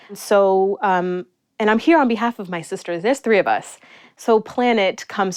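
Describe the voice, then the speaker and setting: Speaking at a moderate pace with an American accent, a woman uses a plain, everyday voice with ordinary pitch variation. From New York City (Astoria, Queens). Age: 30s. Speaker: small business owner. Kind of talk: interview. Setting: in the host's apartment.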